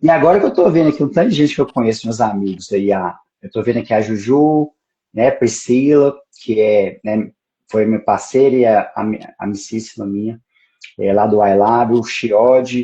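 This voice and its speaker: A man in a Minas Gerais caipira accent, with a dark, mellow tone, a medium pitch, ordinary pitch variation, and a moderate pace. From Brazil, Minas Gerais (Pedra Azul). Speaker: judge. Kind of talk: casual live stream chat. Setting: Instagram live.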